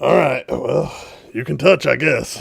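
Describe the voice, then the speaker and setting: Using a put-on character voice, a man talks fairly slowly in a raspy tone. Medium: actual play. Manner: agitated.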